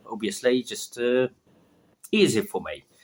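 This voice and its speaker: Speaking at a fairly slow pace with a non-native accent, a man comes through with a dry, close sound and no echo. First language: not English. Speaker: vlogger practicing English. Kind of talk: casual monologue. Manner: halting, many fillers.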